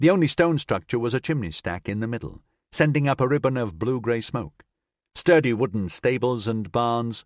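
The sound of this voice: Quiet background behind an unforced reading voice with ordinary pitch variation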